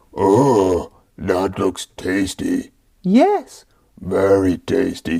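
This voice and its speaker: Putting on a character voice, a man growls in a fairly low pitch at a very slow pace. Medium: read story.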